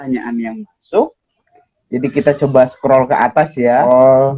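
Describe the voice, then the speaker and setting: A man speaks at medium pitch and a fairly slow pace. His pitch varies in an ordinary way. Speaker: live-stream host. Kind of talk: casual live-stream interview. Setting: Instagram live video call.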